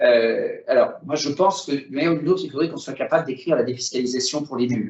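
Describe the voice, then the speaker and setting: This man's somewhat breathy voice sits fairly high in pitch and moves with lively intonation. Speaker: business federation president, former member of parliament. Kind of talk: webinar presentation. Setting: video call. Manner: hesitant, many fillers.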